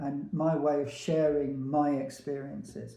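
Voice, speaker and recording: Dark, mellow, somewhat breathy tone from a man at a fairly high pitch and a very slow pace, with audible room echo. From England, Peterborough. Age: 70s. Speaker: veteran hairdresser. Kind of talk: casual monologue to camera.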